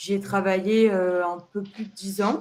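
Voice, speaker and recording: Speaking at a very slow pace, a woman uses a calm tone, medium pitch and fairly even intonation. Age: 30s. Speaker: job seeker in career change. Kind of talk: counseling interview.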